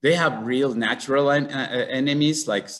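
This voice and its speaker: The speaker is a man with a Mexican accent. His pace is moderate. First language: Spanish. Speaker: conservationist, tarantula breeder. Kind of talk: symposium talk. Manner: halting.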